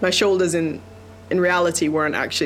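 A woman speaks at a fairly quick pace with fairly even intonation. Noticeable background noise runs under her voice. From Jamaica and UK. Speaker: Paralympic sailor. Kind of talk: interview testimony.

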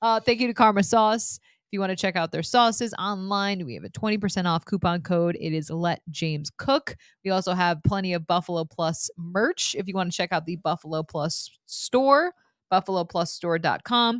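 A woman speaks in a plain, everyday voice at medium pitch and a moderate pace, with ordinary pitch variation. The very clean recording has a silent background and a dry, close sound with no echo. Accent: American. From upstate New York. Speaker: sports reporter and podcast host. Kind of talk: casual chat.

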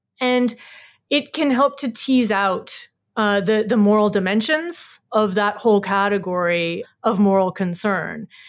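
In a very clean recording with a silent background, a woman with a plain, everyday voice speaks fairly slowly at a medium pitch, with ordinary pitch variation and very even loudness. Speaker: environmental ethics center director. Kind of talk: interview.

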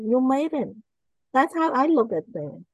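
A woman talks with a high pitch. She has a Cambodian accent. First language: Khmer. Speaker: author and motivational speaker. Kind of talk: interview testimony.

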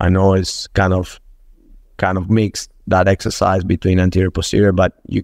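A man with a Spanish accent talks at a moderate pace in a very deep, low pitch and a monotone, flat intonation. The recording is very clean with a silent background, and the sound is dry and close with no echo. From Venezuela. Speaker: football strength and conditioning coach. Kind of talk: podcast interview. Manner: halting with repetitions.

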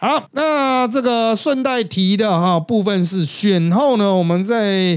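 With a Taiwanese accent, a man speaks at a very slow pace in a high pitch, with lively intonation, very even loudness and hardly any pauses. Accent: Taiwanese Mandarin. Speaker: podcast host and political commentator. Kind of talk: casual chat.

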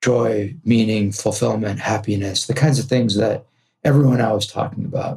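A man speaks in a Californian accent with a dark, mellow tone. His voice is somewhat breathy, with ordinary pitch variation. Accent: General American (California). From Los Angeles, US West Coast. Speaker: entrepreneur and podcast host. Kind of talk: interview conversation.

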